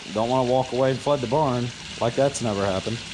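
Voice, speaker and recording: Against noticeable background noise, a man with an American accent speaks at a medium pitch with ordinary pitch variation. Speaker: farmer. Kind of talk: casual vlog narration. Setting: outdoors. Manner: casual.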